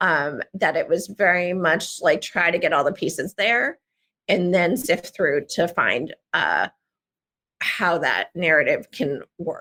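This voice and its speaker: A woman with a New Jersey accent speaks very slowly at a fairly low pitch, with ordinary pitch variation. Her tone is bright and sharp, and the sound is dry and close with no echo. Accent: American, New Jersey. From US Northeast, Central New Jersey. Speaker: memoir writer. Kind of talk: interview. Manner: halting, many fillers.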